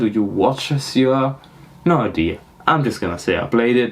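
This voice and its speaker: Noticeable background noise is present. The speaker talks fairly slowly. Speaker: podcast host. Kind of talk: casual solo podcast monologue. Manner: halting.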